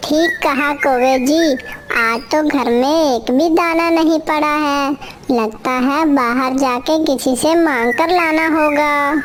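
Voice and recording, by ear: A cartoonish character voice talks at a fairly slow pace over clear background noise. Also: female-sounding voice, high pitch for a woman.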